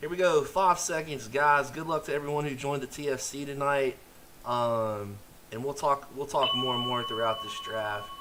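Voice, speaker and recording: A man speaks at a moderate pace with a fairly high pitch and ordinary pitch variation. Noticeable background noise can be heard. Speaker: fantasy football streamer. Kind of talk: live stream commentary. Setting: live stream. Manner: casual, filler-heavy.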